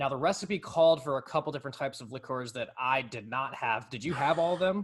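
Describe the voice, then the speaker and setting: Somewhat breathy, a man speaks very fast at a fairly high pitch with ordinary pitch variation. The recording is very clean, its background silent. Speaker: podcast co-host. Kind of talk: casual chat.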